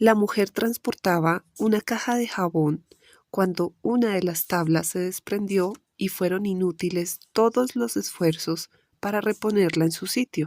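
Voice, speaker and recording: Recorded with a dry, close sound and no echo, a woman with an inland Colombian accent talks at a fairly slow pace in a medium pitch with ordinary pitch variation. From Colombia, interior. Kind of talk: audiobook reading of nonfiction chronicle.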